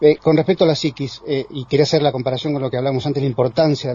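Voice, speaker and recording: The speaker has a Rioplatense accent, a somewhat breathy sound and ordinary pitch variation. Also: man. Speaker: radio host. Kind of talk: radio talk show.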